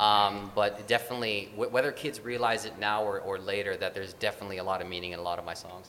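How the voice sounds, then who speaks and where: A man talks at a very fast pace with hardly any pauses. Noticeable background noise can be heard. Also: fairly low pitch for a man, fairly even intonation. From Filipino-American. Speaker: actor and children's musician. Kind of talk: interview.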